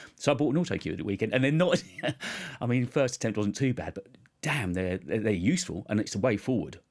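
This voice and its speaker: A man speaks at a very fast pace with medium pitch. His intonation is lively. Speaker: podcast host, former radio presenter. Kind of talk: casual chat. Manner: articulate.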